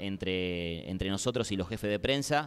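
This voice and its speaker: A man with an ordinary speaking voice, a fairly slow pace and lively intonation. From Argentina, Quilmes; Argentina. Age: 30s. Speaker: sports journalist. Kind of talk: panel discussion. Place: hall. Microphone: handheld.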